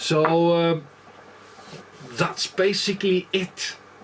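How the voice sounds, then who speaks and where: A man speaks with an Icelandic accent. Noticeable background noise runs underneath. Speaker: leatherworker. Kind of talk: tutorial. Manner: halting, many fillers.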